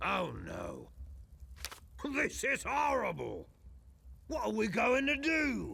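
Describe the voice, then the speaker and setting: A raspy, put-on character voice moves at a very slow pace. Long, frequent pauses break up the speech. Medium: video game. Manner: earnest, wry.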